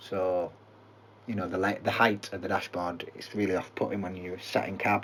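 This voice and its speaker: A man with a Yorkshire accent, fairly low in pitch, at a fairly quick pace. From Yorkshire, England. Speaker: gaming YouTuber and farmer. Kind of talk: gameplay commentary. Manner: casual, halting. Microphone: poor microphone quality.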